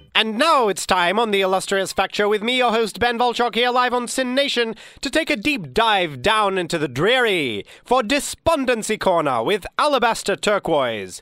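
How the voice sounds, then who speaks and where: The voice is raised and projected, with very even loudness, lively intonation, a moderate pace and hardly any pauses. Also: man, high pitch for a man. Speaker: comedy radio host. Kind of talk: parody radio DJ patter, scripted comedy show with mock-grand announcer flourishes. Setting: radio studio show, live broadcast.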